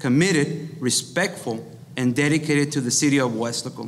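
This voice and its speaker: A man with an American accent speaks. His pitch is fairly high for a man. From Texas, Rio Grande Valley (Weslaco); Texas. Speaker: school district employee, mayoral candidate; candidate. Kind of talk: candidate forum statements. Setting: live event with audience. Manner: reading prepared text. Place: meeting room. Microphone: podium.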